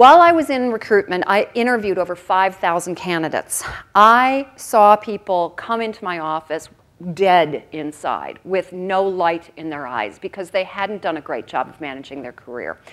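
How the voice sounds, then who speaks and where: A woman's medium-pitched voice with an American accent, moderate pace, lively intonation and big swings in loudness. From US Midwest (Oconomowoc, Wisconsin). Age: 50s. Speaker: keynote speaker, career consultant. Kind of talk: conference keynote. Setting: stage with audience. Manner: animated.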